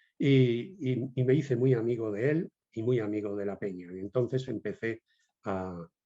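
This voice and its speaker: A man speaks at a medium pitch in a dark, mellow tone. His pitch varies in an ordinary way. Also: quiet background. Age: 70s. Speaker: bullfighting historian and jury president. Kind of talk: interview. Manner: halting, with many repetitions.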